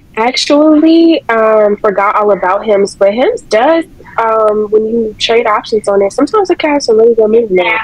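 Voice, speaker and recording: A woman talks with lively intonation and very even loudness. Noticeable background noise runs beneath her voice. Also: moderate pace. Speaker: trading group member. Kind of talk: casual chat. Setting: video call.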